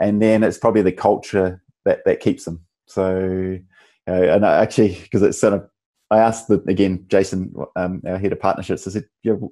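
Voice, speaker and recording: Speaking fairly quickly with a New Zealand accent, a man has a dark, mellow tone and fairly even intonation over a quiet background. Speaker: tech company founder and CEO. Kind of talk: interview. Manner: halting, many restarts and fillers.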